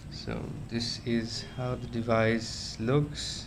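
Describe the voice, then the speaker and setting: A man with a non-native accent, flat monotone intonation, and noticeable background noise behind him. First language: not English. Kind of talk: casual talk to camera. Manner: hesitant, many fillers.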